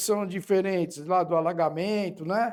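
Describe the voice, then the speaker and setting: A man's high-pitched voice with ordinary pitch variation at a fairly slow pace. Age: 50s. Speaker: podcast host. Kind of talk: interview. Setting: studio.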